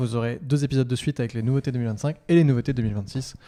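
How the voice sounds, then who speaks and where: Very fast speech comes from a man with a medium pitch and a dark, mellow tone in a very clean recording with a silent background. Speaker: Shopify agency podcast host. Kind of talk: casual podcast chat.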